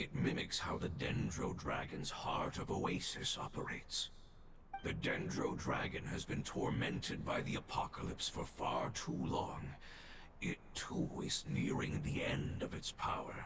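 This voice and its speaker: A man puts on a character voice at a moderate pace, with a clear echo and loud background noise. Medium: video game. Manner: earnest, solemn.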